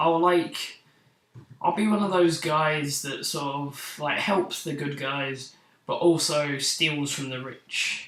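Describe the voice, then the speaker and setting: There is audible room echo as a man with a fairly high voice speaks very slowly and with fairly even intonation. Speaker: vlogger. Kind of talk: casual vlog monologue. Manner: unscripted, slightly stuttering.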